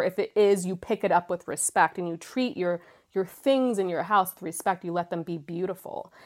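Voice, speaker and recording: A woman's animated, medium-pitched voice at a moderate pace, on a very clean recording with a silent background. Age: 40s. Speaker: flower essence practitioner. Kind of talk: casual chat.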